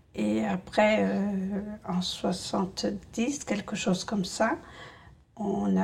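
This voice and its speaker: Her voice at a medium pitch, a woman speaks with lively intonation and a somewhat breathy sound. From rural France. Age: 60s. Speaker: essential tremor patient. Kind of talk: testimony. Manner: hesitant, many fillers.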